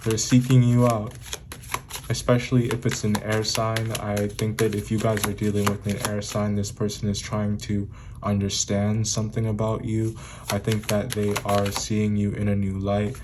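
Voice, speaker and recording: Over noticeable background noise, a man speaks at a moderate pace in a fairly low pitch with monotone, flat intonation. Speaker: tarot reader. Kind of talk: tarot reading.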